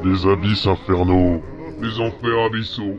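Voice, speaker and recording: Someone uses a put-on character voice at a moderate pace, with clear background noise behind it. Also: man, fairly low pitch for a man. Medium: audio drama. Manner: blunt, boastful.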